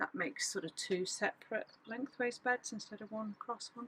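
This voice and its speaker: A woman is speaking in a somewhat breathy voice. Her pitch variation is ordinary. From Wales. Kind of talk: casual talk to camera.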